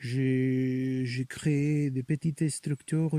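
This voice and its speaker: The tone is dark and mellow, with fairly even intonation. The sound is dry and close, with no echo. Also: man. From Spain, Barcelona region (Catalonia). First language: Spanish or Catalan (speaking French). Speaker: clown. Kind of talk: interview. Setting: outdoors in a forest. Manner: hesitant, with fillers.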